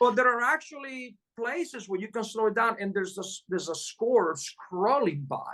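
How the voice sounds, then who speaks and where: With lively intonation and big swings in loudness, a high-pitched man talks at a moderate pace. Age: 60s. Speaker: jazz pianist. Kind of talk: casual interview.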